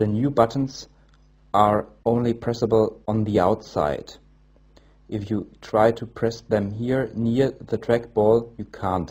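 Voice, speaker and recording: A man with a non-native accent speaks at a fairly slow pace, his medium-pitched voice dark and mellow and somewhat breathy. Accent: non-native English speaker. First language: German. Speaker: tech reviewer. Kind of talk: product review. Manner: halting.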